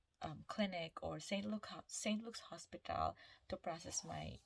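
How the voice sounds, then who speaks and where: A woman speaks with a Filipino accent at a moderate pace. Her pitch is fairly low. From Philippines, Visayas. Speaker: nurse vlogger. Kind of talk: casual vlog storytelling. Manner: halting, self-correcting.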